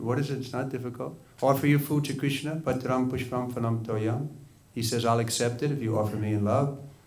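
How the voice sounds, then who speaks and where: Somewhat breathy and medium in pitch, a man with an American accent speaks fairly quickly with fairly even intonation. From US Northeast, Long Island, New York; New York. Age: 60s. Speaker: Hare Krishna monk; religious teacher. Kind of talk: sermon. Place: hall. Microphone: studio mic.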